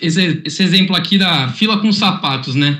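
The voice is bright and sharp in tone. It belongs to a man. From Santos, São Paulo coast, Brazil. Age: 20s. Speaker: corporate innovation presenter. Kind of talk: online workshop presentation.

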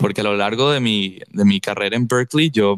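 A man speaks with a Venezuelan accent and fairly even intonation. The recording is very clean, with a silent background. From Caracas, Venezuela. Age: 20s. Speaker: musician. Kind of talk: casual chat.

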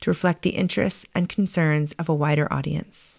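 An ordinary speaking voice from a woman, fairly quick and fairly even in intonation, on a very clean recording with a silent background. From US, Baltimore. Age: 40s. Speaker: podcast host. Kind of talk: scripted narration.

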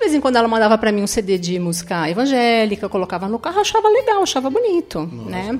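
A woman at a very fast pace with very wide pitch swings, over noticeable background noise. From Paraná interior, then São Paulo state from age 10. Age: 50s. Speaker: church youth coordinator. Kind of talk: testimony.

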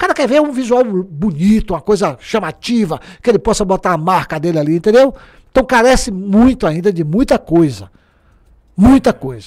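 Animated and with lively intonation, a man talks at a moderate pace in a high pitch with a Bahian accent. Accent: Bahian Brazilian Portuguese. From Bahia, Brazil (Alagoinhas). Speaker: journalist and former culture secretary. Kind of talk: casual interview chat. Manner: animated storytelling.

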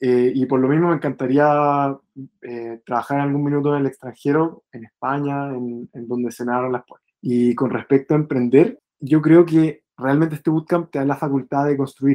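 With hardly any pauses, a man speaks in a fairly high pitch and a dark, mellow tone, his intonation fairly even and the sound dry and close with no echo. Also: moderate pace. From Chile. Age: 20s. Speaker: bootcamp student. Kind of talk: interview. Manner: halting.

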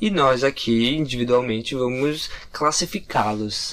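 Noticeable background noise behind a man of medium pitch, fairly slow in pace, with ordinary pitch variation. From Curitiba, Brazil. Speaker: podcast co-host, graphic designer. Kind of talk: casual chat.

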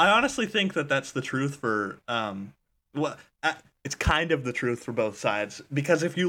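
A man's fairly high voice with a bright, sharp tone and lively intonation at a moderate pace, on a very clean recording with a silent background. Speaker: podcast host. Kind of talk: casual comedic chat.

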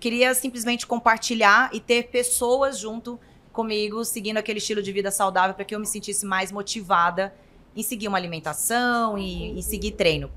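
In a plain, everyday voice, the speaker keeps a fairly even intonation while the loudness swings widely. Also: woman, fairly high pitch for a woman. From Brazil, interior of Goiás. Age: 30s. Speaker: nutritionist and influencer. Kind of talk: casual interview chat.

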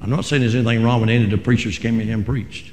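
The speaker sounds somewhat breathy, in a North Carolina accent. Room echo is audible. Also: man. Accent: Southern US (North Carolina). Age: 60s. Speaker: Pentecostal pastor. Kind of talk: fiery Pentecostal Sunday sermon, congregational call-and-response. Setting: church. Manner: impassioned, emphatic preaching with repeated phrases; folksy, halting with frequent 'uh' restarts.

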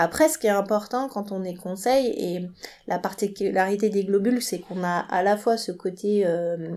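Slowly, at a fairly unhurried pace, a woman speaks at medium pitch in a dark, mellow tone. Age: 40s. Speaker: marketing agency director. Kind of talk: interview.

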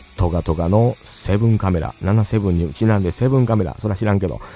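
Noticeable background noise behind a man speaking at a moderate pace, his pitch fairly low. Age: 40s. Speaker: podcast host. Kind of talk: casual livestream chat. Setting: solo livestream.

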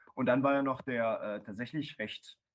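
A man speaks at a moderate pace with fairly even intonation on a very clean recording with a silent background. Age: 20s. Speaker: professional wrestler. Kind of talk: casual chat. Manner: hesitant, many filler sounds.

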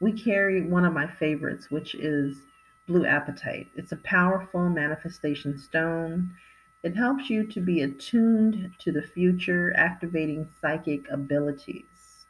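A woman's warm, relaxed, somewhat breathy voice with an American accent, fairly low in pitch, at a moderate pace with ordinary pitch variation. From California. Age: 50s. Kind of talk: product showcase monologue.

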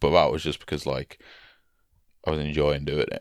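On a very clean recording with a silent background, a man with a very deep, low voice and vocal fry talks at a fairly quick pace in a dry, close sound with no echo. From northern England. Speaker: podcast co-host and musician/comedian. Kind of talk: casual chat. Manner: joking, banter.

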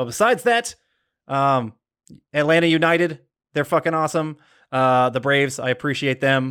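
Someone with an American accent talks at a fairly quick pace with ordinary pitch variation, in a very clean recording with a silent background. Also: man. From Georgia, US South. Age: 30s. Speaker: trivia podcast host. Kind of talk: casual chat.

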